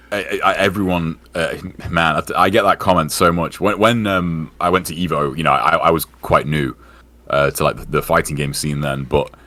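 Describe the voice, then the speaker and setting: Amid noticeable background noise, a man with a very deep, low pitch speaks at a moderate pace with ordinary pitch variation. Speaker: gaming community member, podcaster. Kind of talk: casual chat. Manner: halting, many fillers.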